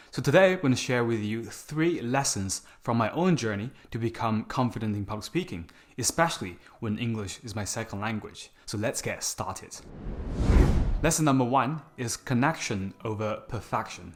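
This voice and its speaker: With music in the background, a man with a Chinese accent and a medium pitch speaks at a moderate pace with lively intonation. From China. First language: Mandarin Chinese. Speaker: public speaking coach, YouTuber. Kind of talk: scripted talk to camera.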